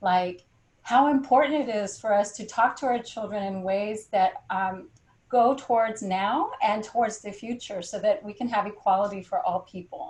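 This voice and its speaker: A woman's ordinary speaking voice with an American accent, fairly high in pitch, at a moderate pace, with ordinary pitch variation and big swings in loudness. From California. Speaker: poet and professor. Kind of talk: panel discussion.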